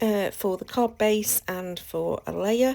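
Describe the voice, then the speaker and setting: A woman is speaking. She has a British accent. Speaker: craft channel host. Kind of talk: tutorial. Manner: casual, hesitant with fillers.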